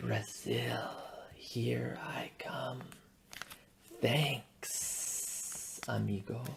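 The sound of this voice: A man whispers in a put-on character voice, hissing as he goes. He speaks very slowly, with long, frequent pauses.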